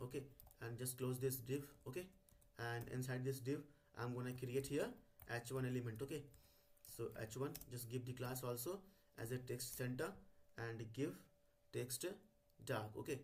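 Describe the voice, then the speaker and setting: A man with a medium pitch and a somewhat breathy voice speaks at a moderate pace, keeping his intonation fairly even and leaving long, frequent pauses. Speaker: coding tutorial YouTuber. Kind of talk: tutorial. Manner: hesitant with many fillers.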